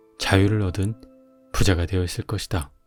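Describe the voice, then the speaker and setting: A man talks at a fairly low pitch. Behind him, music is playing. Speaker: audiobook narrator. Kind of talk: audiobook reading. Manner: calm, soothing.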